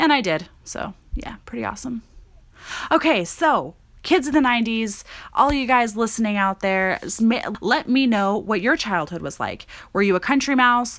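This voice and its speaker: A woman speaks in an ordinary speaking voice, fairly high-pitched and at a moderate pace, over a quiet background. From Montana. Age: 20s. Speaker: podcast host. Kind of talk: casual monologue. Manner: conversational, filler-heavy.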